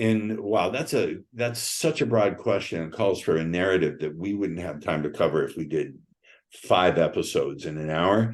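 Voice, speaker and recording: Fairly low in pitch, a man talks with an unremarkable speaking voice at a moderate pace. His intonation is lively. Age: 60s. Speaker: sales trainer and author. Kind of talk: interview.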